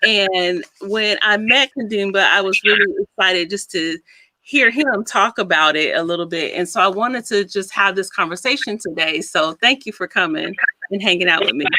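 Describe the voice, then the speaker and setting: Her tone is bright and sharp, with lively intonation. The woman speaks at a moderate pace and a medium pitch. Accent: American. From United States. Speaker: psychologist and podcast host. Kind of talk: casual interview.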